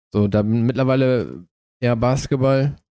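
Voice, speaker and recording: A man's voice has a dark, mellow tone and ordinary pitch variation. The sound is dry and close, with no echo. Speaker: podcast co-host and streamer. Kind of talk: casual chat. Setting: studio.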